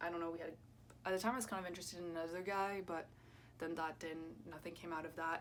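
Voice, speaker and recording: A woman with a French accent speaks at a fairly low pitch and a moderate pace. Her intonation stays fairly even, and the room echo is audible. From France and US (Kansas). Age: 20s. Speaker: YouTuber and student. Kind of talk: casual chat. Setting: at home, doing makeup. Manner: hesitant, filler-heavy.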